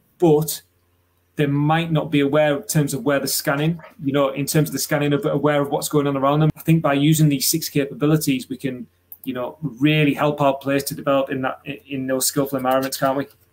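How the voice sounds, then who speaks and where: Here a man speaks with a British accent. His pace is very fast and his intonation monotone and flat. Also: fairly high pitch for a man. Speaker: webinar host and football coach educator. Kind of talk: webinar presentation. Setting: online webinar. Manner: articulate, conversational.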